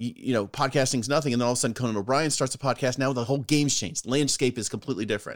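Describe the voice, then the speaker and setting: The speaker is a man with a medium pitch. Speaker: podcast co-host. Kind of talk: casual banter between friends. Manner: chatty, animated.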